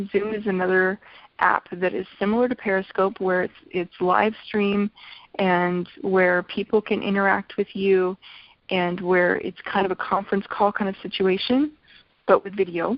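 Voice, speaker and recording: A plain, everyday voice from a woman, medium in pitch, with fairly even intonation at a moderate pace. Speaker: essential oils business trainer. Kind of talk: online business training talk.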